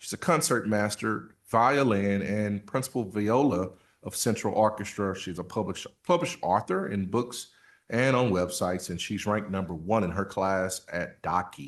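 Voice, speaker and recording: The speaker has a Southern US accent and a moderate pace. Pitch varies in an ordinary way over a quiet background. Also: man, fairly low pitch for a man. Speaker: school superintendent. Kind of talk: board meeting report.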